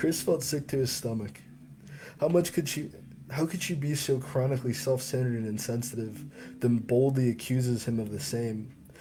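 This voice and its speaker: A man with a dark, mellow tone speaks at a moderate pace and medium pitch, somewhat breathy, with ordinary pitch variation. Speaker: author. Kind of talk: audiobook reading.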